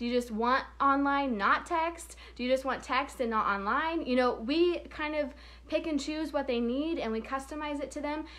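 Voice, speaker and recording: Her tone bright, sharp and animated, a woman speaks at a high pitch and a moderate pace with ordinary pitch variation. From Oklahoma. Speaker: payment processing sales trainer. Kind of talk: casual live stream training.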